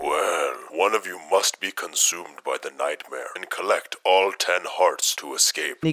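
Using a put-on character voice, a man is talking. His speed is moderate. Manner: ominous, spooky.

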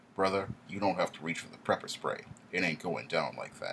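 A man's put-on character voice, low-pitched with vocal fry, lively intonation, a fairly bright tone and a fairly quick pace

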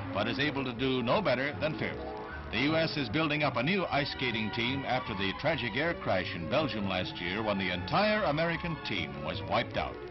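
A man talks at a fairly quick pace. Clear music can be heard behind him. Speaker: newsreel narrator. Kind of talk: newsreel narration. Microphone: old recording.

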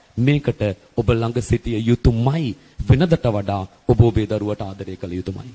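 At a very slow pace, a man talks in a dark, mellow tone that is somewhat breathy. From Sri Lanka. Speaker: A/L accounting tutor; accounting tutor. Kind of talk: motivational talk to parents; advice talk to parents. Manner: repetitive, earnest. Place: classroom. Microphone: handheld.

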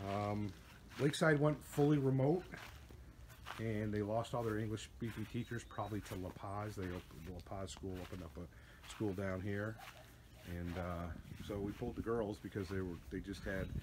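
Noticeable background noise sits behind a man with a fairly low pitch. He talks at a moderate pace with ordinary pitch variation. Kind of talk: casual vlog chat. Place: garden. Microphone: phone near.

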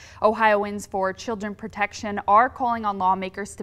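A woman talks at a moderate pace in a normal speaking voice. Her pitch sits in the medium range. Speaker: news anchor. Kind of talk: TV news read.

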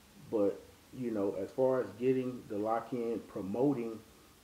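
Against audible room echo, a man speaks in a monotone, flat intonation. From Texas, North Dallas; Texas. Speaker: race promoter. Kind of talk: interview. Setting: at home. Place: home room.

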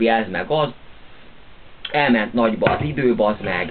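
A man at a fairly low pitch and a fairly slow pace. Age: 30s. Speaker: video blogger. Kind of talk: casual monologue to camera. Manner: animated. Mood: relaxed, grumbling. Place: home room. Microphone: webcam.

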